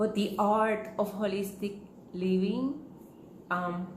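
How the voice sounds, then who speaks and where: Speaking very slowly in a strong Puerto Rican accent, a woman keeps a fairly even intonation amid noticeable background noise and audible room echo. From Puerto Rico. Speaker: holistic living teacher. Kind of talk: talk to camera. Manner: hesitant, many fillers.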